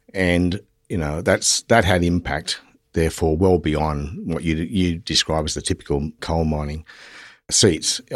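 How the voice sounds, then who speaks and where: With an Australian accent, a man talks at a very deep, low pitch and a fairly slow pace, his intonation fairly even, on a very clean recording with a silent background. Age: 50s. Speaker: politician. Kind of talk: interview.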